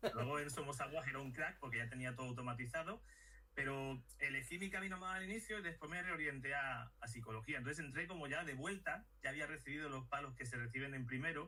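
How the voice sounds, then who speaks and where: A man with a strong Sevillian accent talks very fast in a fairly high voice. His pitch varies in an ordinary way. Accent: strong Sevillian (Andalusian). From Madrid, Spain. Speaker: neuropsychologist. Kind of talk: casual interview chat. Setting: video call.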